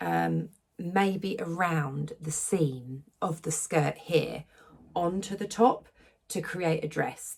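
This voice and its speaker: At a very slow pace, a woman with an English accent speaks in a fairly low pitch with ordinary pitch variation. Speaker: sewing vlogger. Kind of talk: casual vlog talk. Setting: hotel room. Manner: quiet; hesitant, many fillers. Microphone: echoey room.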